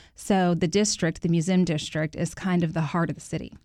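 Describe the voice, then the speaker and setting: A woman with an American accent, an unremarkable speaking voice, fairly low in pitch, with fairly even intonation. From Houston, Texas (Third Ward). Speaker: real estate agent. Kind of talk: radio interview.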